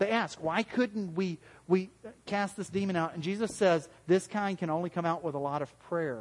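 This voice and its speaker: A man talks at a moderate pace. His pitch is high. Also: ordinary pitch variation. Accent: Southern US. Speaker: pastor. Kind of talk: sermon. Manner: halting.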